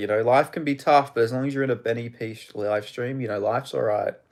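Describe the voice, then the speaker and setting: On a very clean recording with a silent background, a man speaks at a medium pitch and a fairly quick pace. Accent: Australian. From Australia. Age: 20s. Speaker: MMA live streamer. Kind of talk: live stream chat and fight commentary. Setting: live stream. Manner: casual, animated.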